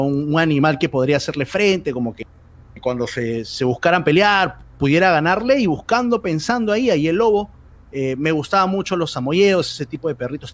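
A man talks at a fairly quick pace, his pitch fairly high. He has a normal speaking voice and lively intonation. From Peru. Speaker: esports commentator. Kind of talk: interview.

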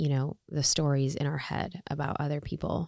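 A woman with an American accent speaks at a fairly slow pace, her pitch very deep and low and her tone dark and mellow. The recording is very clean with a silent background and a dry, close sound with no echo. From US Midwest, Chicago. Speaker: author. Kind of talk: casual chat.

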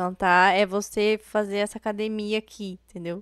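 At a fairly slow pace, a woman speaks in a monotone, flat way, captured in a very clean recording with a silent background and a dry, close sound with no echo. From Paraná, Brazil (Paranavaí). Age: 20s. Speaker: DJ. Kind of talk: interview.

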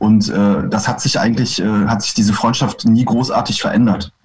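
This man talks at a moderate pace. His pitch is medium. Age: 30s. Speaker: punk rock singer and bassist. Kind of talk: casual interview. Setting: video call. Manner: halting.

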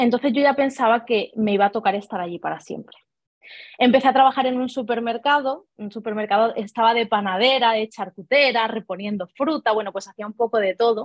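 Fairly high in pitch, a woman talks at a fairly quick pace. Her intonation stays fairly even. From Spain, Ibiza then Seville province. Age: 20s. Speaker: network marketing leader. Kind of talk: interview.

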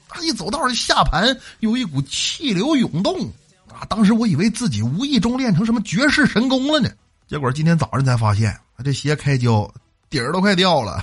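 Here a man talks at a moderate pace with a high pitch. His pitch swings very widely from moment to moment. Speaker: radio host. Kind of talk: comedic monologue. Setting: studio.

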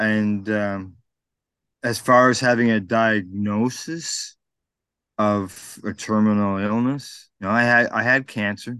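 The background is quiet here. A man talks in a bright, sharp tone. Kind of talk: casual interview. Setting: outdoors.

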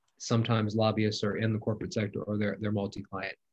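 Fairly low-pitched man with an American accent and flat, monotone intonation. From US South, Mississippi (Biloxi). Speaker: congressional chief of staff. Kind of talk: interview conversation.

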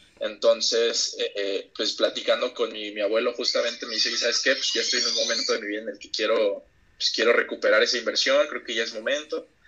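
A man speaks at a fairly quick pace with hardly any pauses. His loudness swings widely. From Mexico, Oaxaca coast (Huatulco). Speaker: real estate investor. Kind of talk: casual interview chat.

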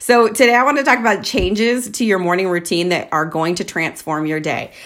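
Captured on a very clean recording with a silent background, a woman speaks at a moderate pace and medium pitch with lively intonation. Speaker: podcast host. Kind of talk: casual solo monologue. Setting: at home, in a room with echo. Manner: chatty, frequent laughter.

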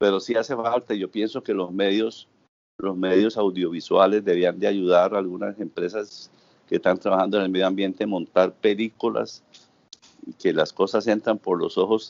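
Flat, monotone intonation from a man at a fairly low pitch, delivered at a moderate pace. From Santander, Colombia. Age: 60s. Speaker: volunteer beach cleaner. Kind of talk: interview. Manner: halting.

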